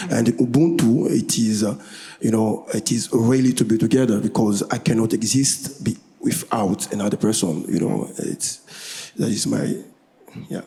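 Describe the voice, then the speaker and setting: With a French accent, a man speaks at medium pitch and a moderate pace, his intonation lively. Noticeable background noise runs underneath. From DR Congo. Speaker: musician. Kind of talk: panel discussion. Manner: halting.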